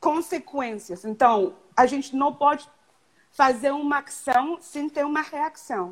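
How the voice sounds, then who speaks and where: A woman speaks with a high pitch and ordinary pitch variation. Her pace is fairly slow. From Canada. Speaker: event planning professional. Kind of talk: live stream interview. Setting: video live stream.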